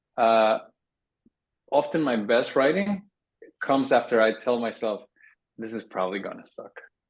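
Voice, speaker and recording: With a Spanish accent, a man speaks at a moderate pace using lively intonation and long, frequent pauses. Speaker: writing workshop instructor. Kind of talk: workshop Q&A. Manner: casual, animated.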